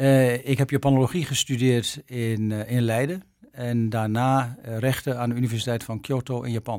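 A man at medium pitch and moderate pace, fairly even in intonation, on a very clean recording with a silent background. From Netherlands, Arkel, Zuid-Holland. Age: 60s. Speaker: ambassador. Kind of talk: interview. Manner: hesitant, with many fillers.

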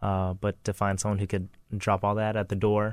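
Over a silent background on a very clean recording, a man talks at a fairly quick pace in a fairly low, monotone, flat voice. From US South, Lafayette, Louisiana. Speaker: chef and restaurant owner. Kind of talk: casual interview.

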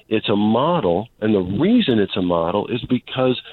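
This man has an ordinary speaking voice, fairly low in pitch, with an American accent and a fairly slow pace. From US Midwest. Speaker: caller. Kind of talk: call-in conversation. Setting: phone call. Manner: earnest.

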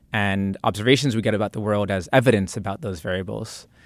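Here is a normal speaking voice: a man with an American accent, fairly low in pitch. He keeps a moderate pace in a very clean recording with a silent background. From central New Jersey, US. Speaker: computer science professor. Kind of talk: interview.

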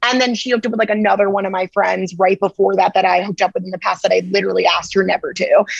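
Over music in the background, a woman rattles along at a very fast pace with hardly any pauses, her tone animated and energetic, the sound dry and close with no echo. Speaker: TikTok creator and podcast co-host. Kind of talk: casual interview chat. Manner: animated, energetic.

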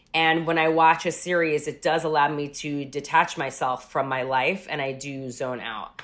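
A woman with a New York accent and a very deep, low voice, at a moderate pace with fairly even intonation and hardly any pauses. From Rockland County, New York. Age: 30s. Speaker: music journalist and TV host. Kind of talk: casual interview. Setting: at home, remote call.

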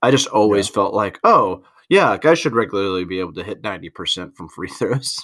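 A man uses a normal speaking voice at a fairly low pitch and a moderate pace, with ordinary pitch variation and big swings in loudness. The recording is very clean, with a silent background. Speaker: basketball podcast host. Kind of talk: casual chat. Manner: jokey.

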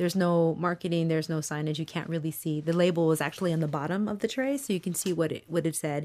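Speaking very fast with hardly any pauses, a woman uses a fairly low pitch, ordinary pitch variation and a dark, mellow tone on a very clean recording with a silent background. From Michigan, Mexican-American migrant family roots in South Texas. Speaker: school food services director. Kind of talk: casual interview. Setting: in person in Boston. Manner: halting, repeats words.

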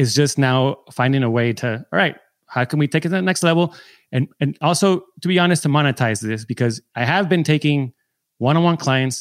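In a very clean recording with a silent background and a dry, close sound with no echo, a man with an American accent uses a plain, everyday voice, fairly high in pitch, with ordinary pitch variation and a fairly quick pace. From San Diego, US. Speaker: film and TV editor, mentor. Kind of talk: coaching call conversation.

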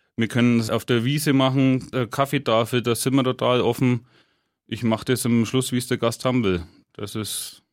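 An unremarkable speaking voice from a man, medium in pitch, at a moderate pace with fairly even intonation, on a very clean recording with a silent background. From Franconia, Hersbruck area, Germany. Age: 30s. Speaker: head chef. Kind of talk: casual interview. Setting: radio studio.

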